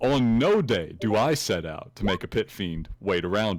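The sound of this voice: What you hear is an unforced reading voice.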